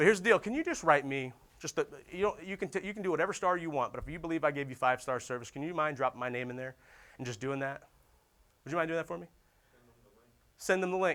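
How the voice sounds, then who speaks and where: Speaking very fast in a fairly high pitch, this man has an animated tone, ordinary pitch variation, big swings in loudness, and long, frequent pauses. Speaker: sales trainer. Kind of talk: conference talk.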